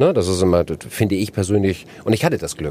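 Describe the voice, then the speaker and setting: A man speaks at a very fast pace with a fairly low pitch. His tone is dark and mellow, with ordinary pitch variation. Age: 50s. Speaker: entrepreneur, franchisor. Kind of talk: interview. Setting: podcast bus at a trade fair.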